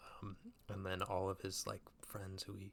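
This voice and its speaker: Soft-spoken and relaxed in tone, a man talks with a fairly low pitch. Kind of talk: movie review, casual talk to camera. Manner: soft-spoken, relaxed.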